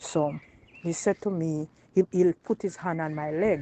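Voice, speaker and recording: A woman with a Jamaican accent speaks at a fairly low pitch with fairly even intonation, the sound dry and close with no echo. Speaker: woman telling her personal experience. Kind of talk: personal testimony, storytelling.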